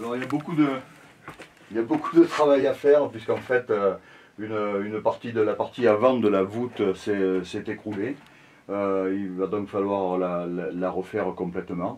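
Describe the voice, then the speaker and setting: His pitch varies in an ordinary way and sits fairly low. This man keeps a moderate pace. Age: 60s. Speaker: local association member. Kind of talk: interview, guided site tour. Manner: halting, many hesitations and repetitions.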